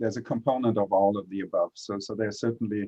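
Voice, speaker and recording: Speaking with a German accent, a man keeps a fairly quick pace. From Germany. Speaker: clinical researcher. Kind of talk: panel discussion. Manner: halting, many fillers.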